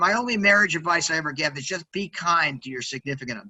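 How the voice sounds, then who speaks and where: Loud and energetic, a man with an American accent talks very fast at a high pitch with lively intonation. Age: 60s. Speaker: sales executive and entrepreneur. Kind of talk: interview. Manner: energetic, loud; fast-paced, many fillers.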